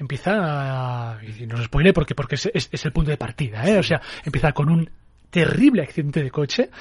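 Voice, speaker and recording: Lively intonation from a man with a fairly high pitch, somewhat breathy and at a fairly quick pace. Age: 30s. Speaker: film critic. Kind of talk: casual film discussion.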